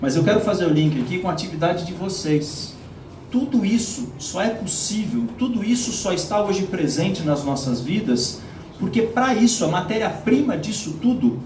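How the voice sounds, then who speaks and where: With audible room echo and noticeable background noise, a man speaks at a moderate pace with lively intonation. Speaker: policy advocate speaker. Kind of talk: conference presentation.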